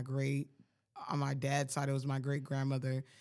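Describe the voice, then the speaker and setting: A man with an American accent speaks at a moderate pace. He has a fairly high pitch and an unremarkable speaking voice. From Colorado Springs, Colorado. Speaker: podcast co-host, musician. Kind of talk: casual chat.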